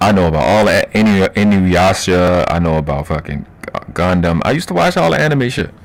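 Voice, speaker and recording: Noticeable background noise runs throughout. Over it, a man talks. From Baltimore, Maryland, US. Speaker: live-stream host. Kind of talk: live stream chat. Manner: fast; animated.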